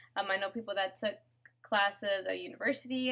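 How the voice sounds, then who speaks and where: With a bright, sharp tone, a woman talks at a fairly quick pace with ordinary pitch variation. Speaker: real estate agent vlogger. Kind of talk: casual tutorial vlog. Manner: casual, filler-heavy.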